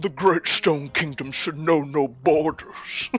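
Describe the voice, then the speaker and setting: This put-on character voice sits at a middle pitch and moves at a fairly slow pace. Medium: actual play. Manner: pompous, condescending, cheerful.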